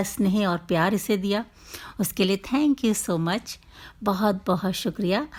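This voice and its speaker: Recorded very cleanly against a silent background, a woman speaks at medium pitch with a somewhat breathy quality. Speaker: storyteller. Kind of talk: program introduction to listeners.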